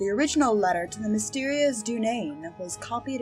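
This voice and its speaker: A woman's medium-pitched voice at a moderate pace, with very wide pitch swings and music playing in the background. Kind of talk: audiobook-style game book reading.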